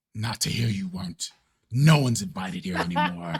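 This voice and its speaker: A man growls in a put-on character voice at a medium pitch. His pace is fairly quick. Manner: hostile, menacing.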